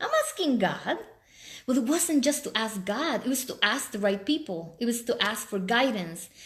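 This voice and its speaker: Her pitch high and her intonation lively, a woman speaks at a moderate pace in an animated tone. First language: Spanish. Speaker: life coach. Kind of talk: live stream talk.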